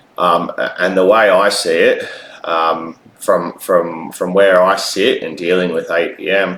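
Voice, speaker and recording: A man with an Australian accent speaks at a fairly slow pace against noticeable background noise. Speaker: vlogger. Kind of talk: personal video monologue. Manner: halting, many fillers.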